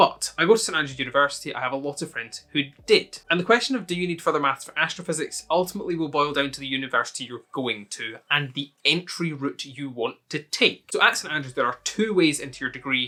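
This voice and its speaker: A man with a Scottish accent, fairly high pitch and a bright, sharp tone, talking at a very fast pace with hardly any pauses and big swings in loudness. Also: ordinary pitch variation. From Scotland. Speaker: university student youtuber. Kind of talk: casual Q&A to camera.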